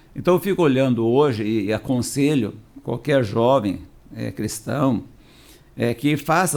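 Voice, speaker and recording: The speaker has an unremarkable speaking voice with lively intonation. The pace is fairly slow. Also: man. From Paraná, southern Brazil (Londrina area). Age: 60s. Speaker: pastor. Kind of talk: podcast interview.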